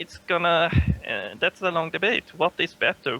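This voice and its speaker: A man with a high pitch and a non-native accent. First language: not English. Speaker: podcast panelist. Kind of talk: casual debate. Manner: halting.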